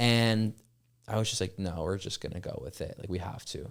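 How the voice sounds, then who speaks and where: Speaking at a fairly quick pace, a man with a Californian accent has a fairly low pitch. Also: very clean recording, silent background. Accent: Californian American. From Los Angeles area, US. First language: French. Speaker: startup founder. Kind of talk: casual interview chat. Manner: fast, filler-heavy speech.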